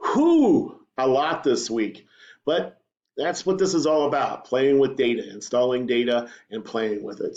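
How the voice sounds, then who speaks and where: Here is a man with an unremarkable speaking voice. He talks at a moderate pace with lively intonation. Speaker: teacher. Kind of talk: tutorial. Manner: casual, conversational.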